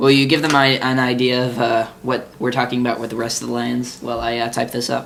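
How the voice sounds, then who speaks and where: Amid noticeable background noise, a man of medium pitch speaks fairly quickly in a flat monotone. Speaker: podcast host, card game fan. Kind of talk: casual chat. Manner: halting.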